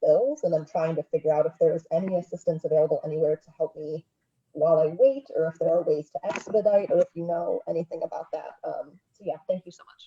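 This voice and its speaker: A woman speaks in a soft-spoken way. Her pace is fairly quick. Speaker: audience member with a question. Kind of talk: question at a live webinar Q&A. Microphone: sounds far away, muffled mic.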